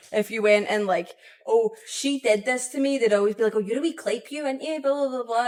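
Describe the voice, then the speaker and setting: Her pitch varying in an ordinary way, a woman speaks at a very fast pace. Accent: Scottish. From Scotland. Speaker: podcast host. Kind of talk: casual podcast conversation.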